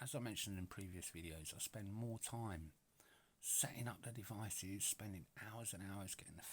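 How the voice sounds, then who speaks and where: Speaking with a British accent, a man moves at a fairly quick pace. His pitch is fairly low, with ordinary pitch variation. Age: 40s. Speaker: retro gaming YouTuber. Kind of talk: casual product overview. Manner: chatty, many filler words. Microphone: poor microphone sound.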